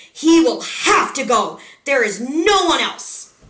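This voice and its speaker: A woman puts on a loud, high-pitched character voice at a fairly slow pace. Her pitch swings very widely, and an echo is audible. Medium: read story. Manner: stern, commanding.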